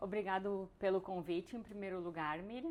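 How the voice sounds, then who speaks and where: A woman speaks with a strong southern Brazilian accent. Her medium pitch shows ordinary variation. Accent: strong gaúcho (southern Brazilian). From southern Brazil, Rio Grande do Sul. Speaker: biologist turned entrepreneur, immigrant. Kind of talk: interview. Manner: halting, with fillers and repetitions.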